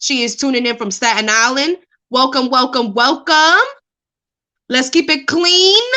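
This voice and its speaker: In a New York accent, a raised, projected voice with a bright, sharp tone moves at a fairly slow pace, with lively intonation and long, frequent pauses. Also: woman, high pitch for a woman. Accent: New York (Bronx). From New York City, the Bronx. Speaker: live stream host. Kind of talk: casual chat. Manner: loud.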